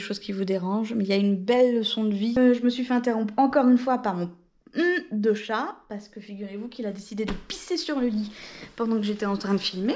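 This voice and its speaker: Soft-spoken and dark, mellow in tone, a woman with a fairly high pitch and ordinary pitch variation moves at a fairly quick pace on a very clean recording with a silent background. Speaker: book vlogger. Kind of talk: casual vlog chat. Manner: hesitant, many fillers.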